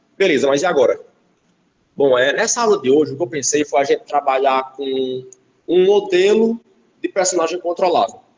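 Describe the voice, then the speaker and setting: A high-pitched man's voice with lively intonation and long, frequent pauses. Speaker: game development instructor. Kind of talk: lecture. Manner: fast.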